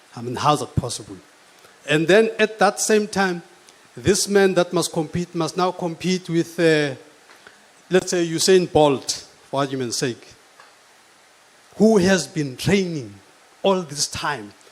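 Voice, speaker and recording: Lively intonation at a fairly slow pace, long and frequent pauses, noticeable background noise. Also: man, high pitch for a man. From South Africa. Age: 60s. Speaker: politician. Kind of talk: panel talk. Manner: animated.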